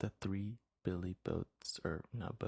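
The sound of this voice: The speaker uses an unforced reading voice against a quiet background.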